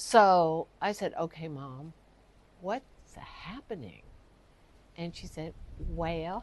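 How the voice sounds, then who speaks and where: With an American accent, a woman speaks at a very slow pace, her pitch swinging very widely. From US South, Texas and Louisiana. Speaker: storyteller. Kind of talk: personal storytelling.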